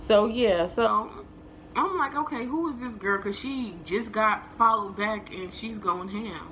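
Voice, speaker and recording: With an American accent, a woman speaks in a fairly high pitch at a fairly slow pace, using long, frequent pauses, lively intonation and an animated tone, amid noticeable background noise and audible room echo. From New Jersey. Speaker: vlogger. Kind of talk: casual storytelling.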